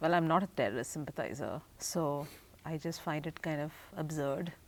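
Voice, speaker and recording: Moderate pace and ordinary pitch variation from a woman with a very deep, low voice. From India. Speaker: PhD student. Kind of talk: interview. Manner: hesitant.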